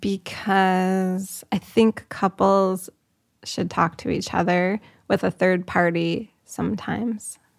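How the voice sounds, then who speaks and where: In a dry, close recording with no echo, a woman speaks at a very slow pace with medium pitch and monotone, flat intonation. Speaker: poet. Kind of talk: casual chat.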